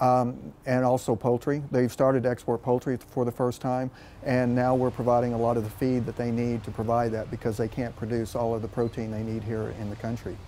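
With an American accent, a man speaks at a moderate pace and medium pitch in a dark, mellow tone, his intonation monotone and flat, with light background noise. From West Texas. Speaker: agricultural diplomat. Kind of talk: news interview. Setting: on location in Ankara. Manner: halting, many fillers. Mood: calm, informative. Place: garden. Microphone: lapel.

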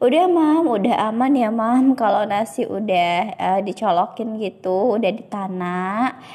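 A woman's fairly high, dark, mellow voice at a fairly slow pace, with lively intonation, very even loudness and hardly any pauses. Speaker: cooking vlogger, housewife. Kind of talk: voiceover narration of cooking vlog. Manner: casual, chatty with fillers.

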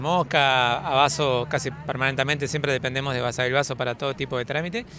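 Over noticeable background noise, a man speaks at a fairly high pitch with fairly even intonation, the sound dry with no echo. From Argentina, Entre Ríos; Argentina. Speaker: local resident at a road protest. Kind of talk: street interview. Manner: halting, many fillers. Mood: concerned, earnest. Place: street.

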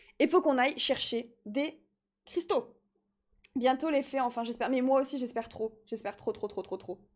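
In an animated tone, a woman speaks at a moderate pace in a high pitch with ordinary pitch variation. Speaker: gaming streamer. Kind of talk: casual live-stream chat while playing. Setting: live stream, replayed video. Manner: animated, chatty.

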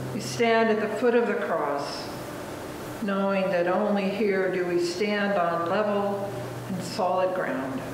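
Speaking at a very slow pace with ordinary pitch variation, a woman is heard with audible room echo and noticeable background noise. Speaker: minister leading prayer. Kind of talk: read liturgical prayer. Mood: solemn, calm. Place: church. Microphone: camera far.

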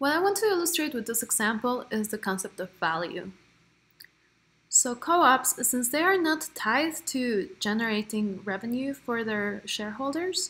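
The tone is bright and sharp, with very wide pitch swings. Delivery is at a moderate pace. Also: woman, high pitch for a woman. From Mexico. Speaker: cooperative business developer; presenter. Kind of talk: recorded presentation. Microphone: webcam.

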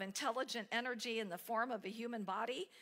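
A woman's bright, sharp tone. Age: 60s. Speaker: spiritual speaker; speaker. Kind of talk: sermon. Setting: church. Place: church.

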